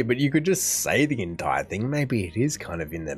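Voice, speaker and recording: Faint music plays in the background behind a voice with an Australian accent. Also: man. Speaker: reaction video host. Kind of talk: casual talk to camera. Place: home room.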